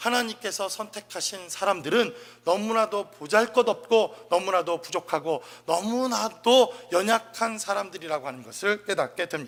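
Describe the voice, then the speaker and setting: A man's high-pitched, bright, sharp voice, raised and projected, at a moderate pace with ordinary pitch variation, on a very clean recording with a silent background. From South Korea, Chungcheong province. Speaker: pastor. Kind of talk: sermon.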